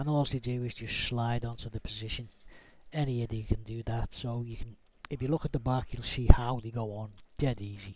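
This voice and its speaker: A man with a Liverpool accent talks at a fairly quick pace and medium pitch, somewhat breathy. His intonation stays fairly even while his loudness swings widely. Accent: Liverpool (Scouse). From Liverpool, England. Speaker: DIY YouTuber. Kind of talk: tutorial. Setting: home garage workshop. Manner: casual, conversational.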